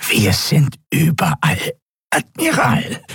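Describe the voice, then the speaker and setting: This is a put-on character voice from a man, fairly high in pitch and very slow. It sounds croaky, raspy and nasal. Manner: defiant, menacing.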